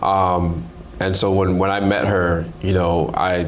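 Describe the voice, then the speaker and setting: A man with a fairly low voice talks amid noticeable background noise and audible echo from the room. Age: 30s. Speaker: content creator. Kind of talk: casual chat. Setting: hotel room in Dubai. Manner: halting.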